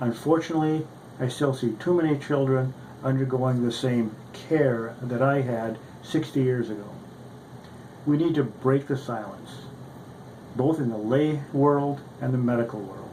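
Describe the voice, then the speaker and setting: With long, frequent pauses, a man speaks at a fairly slow pace and fairly even intonation amid audible room echo. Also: medium pitch for a man. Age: 60s. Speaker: orthopedic surgeon and patient advocate. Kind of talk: prepared testimony statement. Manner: formal.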